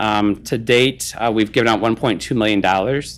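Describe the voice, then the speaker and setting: Medium pitch marks this man's voice. He keeps a moderate pace with fairly even intonation. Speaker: regional development official presenting to county committee. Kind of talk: presentation. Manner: halting with many fillers.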